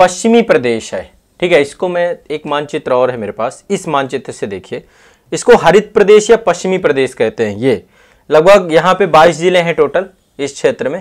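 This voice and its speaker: Against a quiet background, a man speaks at a moderate pace. His high voice has lively intonation. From Bundelkhand, Uttar Pradesh (Banda district); Uttar Pradesh. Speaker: exam coaching teacher. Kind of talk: lecture. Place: classroom.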